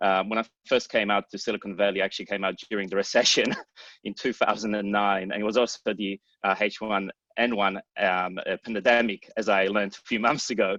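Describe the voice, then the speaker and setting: With an Australian accent, a man talks at a fairly quick pace in a fairly low pitch with a bright, sharp tone and monotone, flat intonation, the background quiet and the sound dry and close with no echo. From Australia, Sydney. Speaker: startup founder and CEO. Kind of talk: panel introduction on video call.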